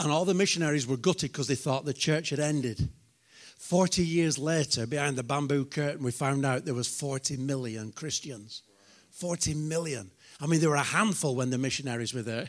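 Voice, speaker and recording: A man speaks at a moderate pace with fairly high pitch and ordinary pitch variation. The recording is very clean, with a silent background. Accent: British. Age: 50s. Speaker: preacher. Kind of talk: sermon. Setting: church.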